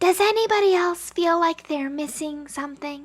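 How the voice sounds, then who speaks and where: In a put-on character voice, a woman speaks loudly at a moderate pace, extremely high-pitched and squeaky, with ordinary pitch variation. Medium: read story. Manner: loud, blurting.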